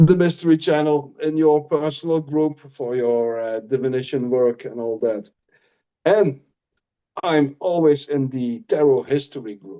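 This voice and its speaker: At a fairly slow pace, a man with fairly high pitch and a dark, mellow tone speaks with ordinary pitch variation. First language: not English. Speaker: tarot reader. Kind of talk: casual chat. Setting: live stream. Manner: halting.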